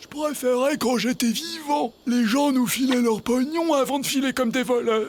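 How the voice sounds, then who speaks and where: A man puts on a cartoonish character voice at an extremely high pitch, barely pausing at all. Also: moderate pace, ordinary pitch variation. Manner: plaintive, worried.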